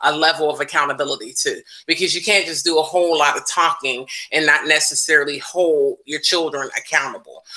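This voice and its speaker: A normal speaking voice from a woman, fairly low in pitch, at a fairly quick pace with fairly even intonation. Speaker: restorative practices trainer. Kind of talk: online parent workshop talk.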